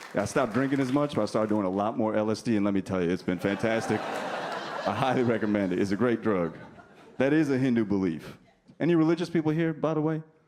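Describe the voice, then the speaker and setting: A man with an American accent and a medium pitch speaks at a very fast pace, his loudness very even throughout. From New Jersey, US. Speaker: stand-up comedian. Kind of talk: stand-up. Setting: stage with audience.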